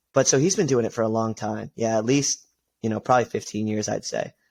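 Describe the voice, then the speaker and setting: Medium-pitched male speech, its pitch varying in an ordinary way. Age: 20s. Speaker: MMA fighter and loan officer. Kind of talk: casual chat.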